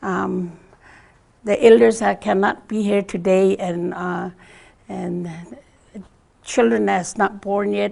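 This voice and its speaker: In an Alaska Native accent, a woman speaks at a very slow pace with long, frequent pauses. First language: Gwich'in. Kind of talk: public talk. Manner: halting.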